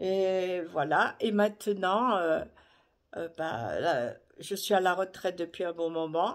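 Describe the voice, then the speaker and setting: On a very clean recording with a silent background, a woman with a medium pitch speaks at a very slow pace with ordinary pitch variation. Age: 70s. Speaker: retired carer sharing holiday wishes. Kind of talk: casual video monologue.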